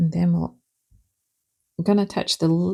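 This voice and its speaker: The woman's voice sits fairly low in pitch, with a relaxed, gentle tone that is dark and mellow. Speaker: watercolour art teacher. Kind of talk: tutorial.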